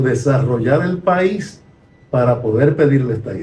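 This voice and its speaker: There is music in the background. A man talks at a fairly slow pace with ordinary pitch variation. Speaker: retired sociology professor. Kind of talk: conversational podcast discussion.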